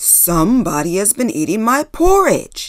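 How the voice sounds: In a loud, growling put-on character voice, a woman speaks at a moderate pace with a fairly high pitch and very wide pitch swings.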